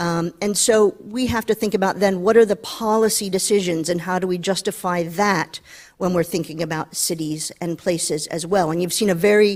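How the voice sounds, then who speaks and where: With an American accent, a woman talks at a moderate pace, medium pitch and fairly even intonation. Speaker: panelist on innovation. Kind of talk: panel discussion. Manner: halting, many fillers.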